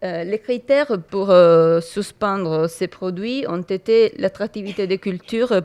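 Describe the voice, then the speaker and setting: Against a quiet background, a woman with an Italian accent speaks fairly slowly in a medium-pitched, dark, mellow voice with ordinary pitch variation. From Italy. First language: Italian (speaking French). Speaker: entomology researcher. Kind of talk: conference talk. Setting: conference hall with audience. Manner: halting, many hesitations.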